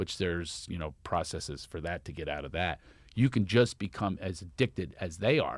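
On a very clean recording with a silent background, a man with a Philadelphia accent speaks at a moderate pace in a very deep, low voice, with big swings in loudness and lively intonation. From Philadelphia, US. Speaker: comedian. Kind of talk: casual chat. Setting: studio.

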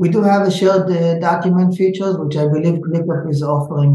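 His tone dark and mellow, a man talks at a fairly quick pace in a high pitch. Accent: Israeli. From Israel. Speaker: startup founder and events manager. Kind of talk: interview. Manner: halting.

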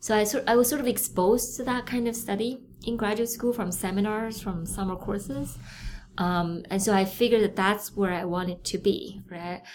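Someone with a Chinese accent speaks at a moderate pace with ordinary pitch variation. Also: woman, medium pitch for a woman. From China (Beijing). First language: Mandarin Chinese. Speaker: neuroscientist, professor. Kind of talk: interview.

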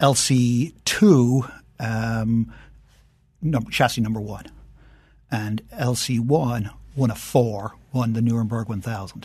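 A man with an Irish accent speaks very slowly at a medium pitch, somewhat breathy, with long, frequent pauses. His intonation is fairly even, and the background is quiet. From Ireland. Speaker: entrepreneur and car collector. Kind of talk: casual chat.

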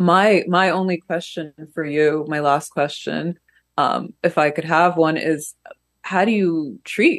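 A woman's very deep, low voice in an American accent, at a fairly slow pace with ordinary pitch variation. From US, raised from early childhood after emigrating from Russia. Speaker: cultural critic and podcaster. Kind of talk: casual interview. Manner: hesitant with many fillers.

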